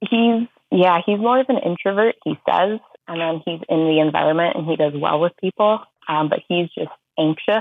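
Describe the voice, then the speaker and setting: With an ordinary speaking voice pitched fairly low, a woman talks at a moderate pace with lively intonation. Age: 20s. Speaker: caller seeking dating advice. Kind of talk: casual chat. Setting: phone call.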